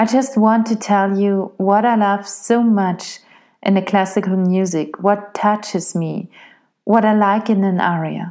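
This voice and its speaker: A woman with a German accent at medium pitch, fairly slow pace, fairly even intonation and very even loudness. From Austria. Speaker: opera singer and podcast host. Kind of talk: solo podcast monologue.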